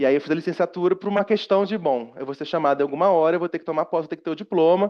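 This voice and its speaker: Delivering his words at a very fast pace, a man speaks in a high pitch with ordinary pitch variation. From Rio de Janeiro, Brazil. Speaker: university professor. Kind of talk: lecture. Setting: seminary room with live audience, recorded. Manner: conversational, frequent fillers.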